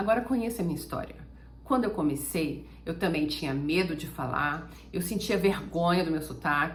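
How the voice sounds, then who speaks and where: A woman talks at a moderate pace, and audible room echo follows her voice. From Brazil. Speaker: German teacher. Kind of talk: motivational talk to camera.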